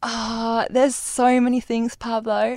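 On a very clean recording with a silent background, a woman talks with a German accent. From Germany. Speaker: former au pair. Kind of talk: casual chat.

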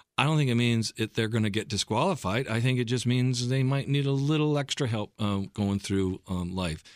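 In a very clean recording with a silent background, a man with a Midwestern American accent speaks at medium pitch and a moderate pace, with ordinary pitch variation, very even loudness and hardly any pauses. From US Midwest, Michigan and Ohio. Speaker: pastor and team chaplain. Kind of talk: radio interview. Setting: studio.

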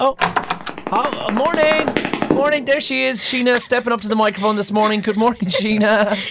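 Noticeable background noise sits behind a man whose high-pitched voice carries lively intonation. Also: fairly quick pace. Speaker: radio breakfast show host. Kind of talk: casual chat.

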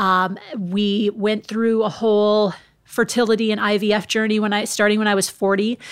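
This woman speaks with an American accent at a moderate pace. Her intonation is monotone and flat. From US Midwest, Minnesota. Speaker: former TV sports reporter. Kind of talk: interview conversation.

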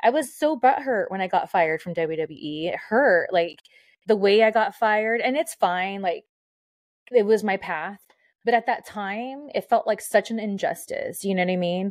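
At a moderate pace, a woman with a fairly high pitch speaks with lively intonation against a quiet background. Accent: Californian. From Southern California, Mexican-American. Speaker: former pro wrestler and radio host. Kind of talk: casual chat. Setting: video call.

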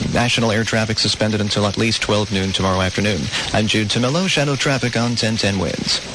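Noticeable background noise surrounds a man talking at a very fast pace. His loudness stays very even, with ordinary pitch variation. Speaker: traffic reporter. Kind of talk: traffic report. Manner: rapid, clipped listing of closures.

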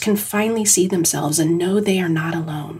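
This woman's tone is warm and somewhat breathy. She talks at a fairly quick pace with ordinary pitch variation. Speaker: writer reading own essay. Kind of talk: literary essay reading, reflective personal essay read aloud. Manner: measured, warm, earnest and reflective.

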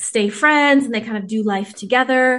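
A woman with an American accent speaks in a fairly high pitch with ordinary pitch variation, a plain, everyday voice over a quiet background. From US West Coast (Whittier, California). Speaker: author. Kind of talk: interview.

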